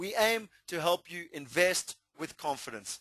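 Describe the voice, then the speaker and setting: The man's voice is high-pitched and bright and sharp in tone, with lively intonation and a South African accent. The sound is dry and close, with no echo. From South Africa, Natal. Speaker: property investment presenter. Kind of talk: webinar presentation. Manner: animated.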